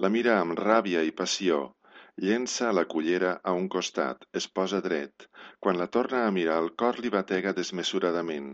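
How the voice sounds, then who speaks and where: A very deep, low male voice with an intense tone, ordinary pitch variation and a fairly slow pace. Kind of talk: dramatic narration of a short story, read aloud. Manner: intense, charged storytelling that builds with the plot.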